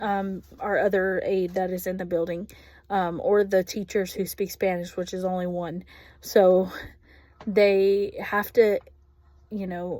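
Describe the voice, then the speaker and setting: A woman with a Texas accent speaks at a fairly slow pace with long, frequent pauses. Her tone is dark and mellow, her pitch medium and her intonation monotone and flat. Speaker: ESL classroom aide. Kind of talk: recorded class assignment reflection. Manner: casual, with frequent filler ums.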